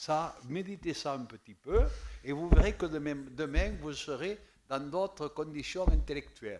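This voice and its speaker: A fairly slow delivery in a southern French accent, with ordinary pitch variation and big swings in loudness. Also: man, fairly high pitch for a man. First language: Occitan (speaking French). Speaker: municipal councillor. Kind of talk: council debate. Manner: halting, repeats words.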